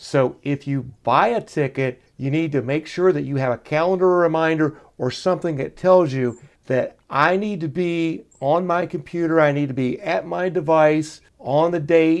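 At a fairly slow pace, a man speaks in an ordinary speaking voice, fairly high-pitched with ordinary pitch variation. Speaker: executive producer, co-host. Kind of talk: casual interview chat.

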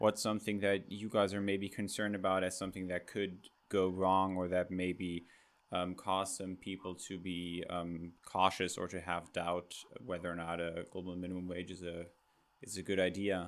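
A man with a German accent and a very deep, low pitch talks at a moderate pace in a monotone, flat intonation. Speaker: podcast host. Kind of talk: interview.

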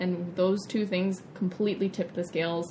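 Over noticeable background noise, a woman talks at a moderate pace in a medium pitch. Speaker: vegan chef and nutrition coach. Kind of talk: interview. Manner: animated.

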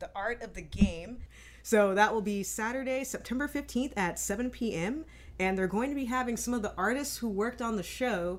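This is a plain, everyday voice at a moderate pace. The pitch variation is ordinary. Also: woman, fairly high pitch for a woman. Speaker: podcast host. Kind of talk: casual interview chat.

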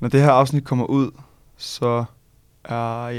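The delivery is monotone, with flat intonation and a fairly slow pace. The recording is very clean, with a silent background. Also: man. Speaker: law student and podcast co-host. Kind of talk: casual chat.

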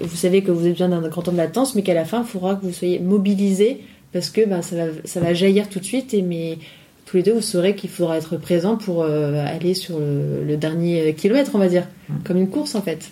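A woman's fairly low-pitched voice, dark and mellow in tone, with ordinary pitch variation. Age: 30s. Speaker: entrepreneur in dance, multipotentialite. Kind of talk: casual chat. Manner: hesitant, many fillers.

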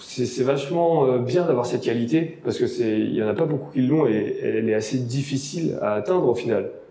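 A man speaks at a fairly high pitch and a moderate pace, with ordinary pitch variation, very even loudness and hardly any pauses. Noticeable background noise and audible room echo are present. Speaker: blogger and podcast host, lifeguard. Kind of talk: interview; scripted podcast intro. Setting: room with a lot of echo.

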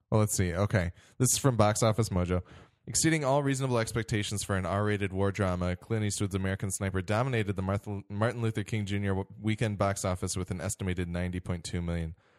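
Very fast speech from a man with a fairly low voice and ordinary pitch variation. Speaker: podcast host. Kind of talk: casual chat about films, podcast review.

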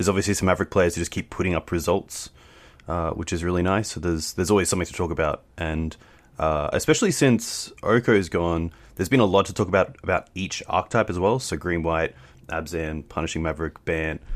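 A man with an Australian accent talks at a very fast pace. His very deep, low voice has ordinary pitch variation. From Australia, Queensland. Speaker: game streamer. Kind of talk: casual chat. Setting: video call.

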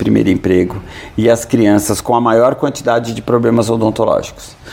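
A man's fairly low voice at a moderate pace over noticeable background noise. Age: 50s. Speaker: dentist. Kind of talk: interview. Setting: auditorium at the guest's organization. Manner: halting, repeats words.

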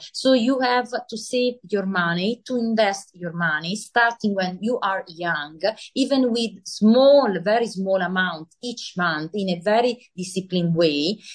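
With an Italian accent, a woman talks at a fairly slow pace, her medium pitch showing ordinary variation. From Italy. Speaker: author and finance professional. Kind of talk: interview. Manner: halting.

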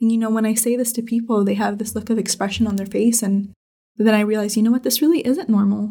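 A woman's very fast, somewhat breathy voice, fairly high in pitch, with a dark, mellow tone and fairly even intonation. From Northern California. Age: 20s. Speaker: patient with a rare bleeding disorder, college student. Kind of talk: interview, personal story. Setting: at her home.

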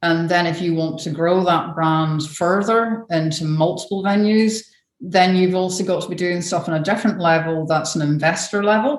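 A woman with a fairly low pitch speaks at a moderate pace with ordinary pitch variation and hardly any pauses. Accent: Scottish. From northern Scotland. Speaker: brand building consultant. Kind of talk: interview.

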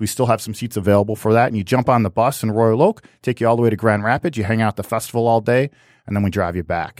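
A man at a medium pitch speaks very fast with fairly even intonation, in a very clean, dry recording with no echo and a silent background. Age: 40s. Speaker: brewery tour company owner. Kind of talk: casual interview chat. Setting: studio.

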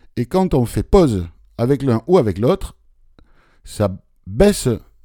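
On a very clean recording with a silent background, a man speaks very slowly at medium pitch, his dark, mellow tone moving through very wide pitch swings. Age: 50s. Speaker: tech and accessibility podcast host, blind. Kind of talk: casual chat.

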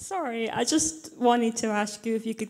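This voice moves at a moderate pace. It carries a Scottish accent. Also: woman. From Glasgow. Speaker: audience member asking a question at a convention panel. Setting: live convention stage, audience microphone.

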